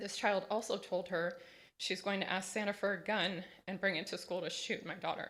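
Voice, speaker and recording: The voice sounds nervous and shaky, moving at a moderate pace in a monotone, flat delivery. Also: woman, medium pitch for a woman. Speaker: parent speaking at public comment. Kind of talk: public comment testimony. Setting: school board meeting. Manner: shaky, nervous delivery.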